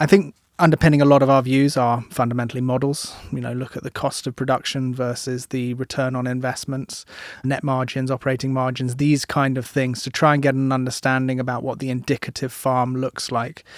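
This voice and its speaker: A man with a British accent at a fairly quick pace, medium in pitch, with monotone, flat intonation. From UK. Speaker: agricultural economist. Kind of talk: podcast interview.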